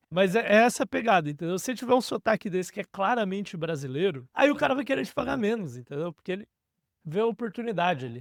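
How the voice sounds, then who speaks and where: A man talks at a very fast pace with very wide pitch swings on a very clean recording with a silent background and a dry, close sound with no echo. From Brazil. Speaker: career coach / online educator. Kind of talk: casual tutorial monologue. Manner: informal, animated.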